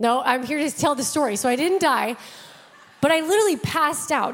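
A woman's high-pitched voice, animated in tone and lively in intonation. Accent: American. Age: 30s. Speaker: pastor. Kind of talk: sermon. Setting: church.

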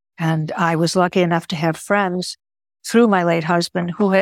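A woman with an American accent and a plain, everyday voice speaks at a moderate pace and a fairly low pitch with fairly even intonation, in a dry, close sound with no echo. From US Midwest (Chicago), Greek-speaking home. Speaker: actor, lawyer and writer. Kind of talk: interview.

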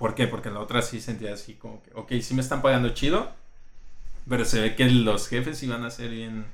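Amid audible room echo, a man speaks at a fairly quick pace and medium pitch, with big swings in loudness. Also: fairly even intonation. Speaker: UX designer. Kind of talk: casual interview.

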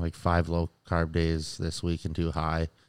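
The recording is very clean, with a silent background. A man speaks at a very deep, low pitch. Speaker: bodybuilder. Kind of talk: casual chat.

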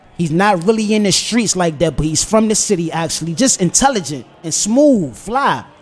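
A man with an American accent, high-pitched, at a moderate pace with lively intonation, over noticeable background noise. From Washington DC, south side. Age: 20s. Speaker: musician. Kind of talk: casual chat.

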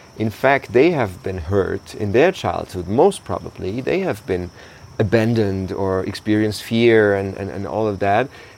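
In a German accent, a man talks at a moderate pace and a fairly low pitch with ordinary pitch variation. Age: 30s. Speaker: podcast host. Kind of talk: casual conversation.

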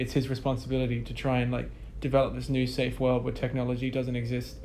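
A man at medium pitch talks at a very fast pace with monotone, flat intonation. Audible room echo and noticeable background noise surround him. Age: 20s. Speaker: musician. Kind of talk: interview. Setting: office.

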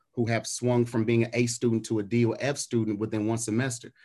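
Over a quiet background, a man speaks at a fairly quick pace in a medium pitch. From US Midwest. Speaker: pastor. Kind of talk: community panel discussion.

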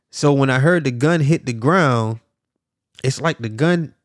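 The recording is very clean and dry, with a silent background and no echo. A man talks with an animated tone at a medium pitch and moderate pace, with ordinary pitch variation. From US South, South Miami, Florida. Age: 40s. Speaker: podcast host and life coach. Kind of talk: storytelling monologue. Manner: casual, animated.

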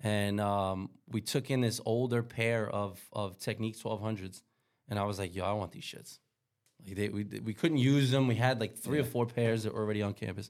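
On a very clean recording with a silent background, a man with a New York accent speaks at a fairly low pitch with fairly even intonation. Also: moderate pace. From New York City, Queens. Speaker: DJ. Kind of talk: casual chat. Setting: studio.

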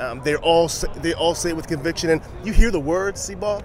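A man talks at a fairly high pitch. Noticeable background noise runs underneath. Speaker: podcast host. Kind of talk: casual sports chat. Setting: outdoors at football practice.

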